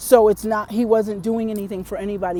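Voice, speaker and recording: At a medium pitch and a moderate speed, a woman is talking. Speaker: dream interpreter. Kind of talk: spiritual monologue. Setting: outdoors. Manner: hesitant.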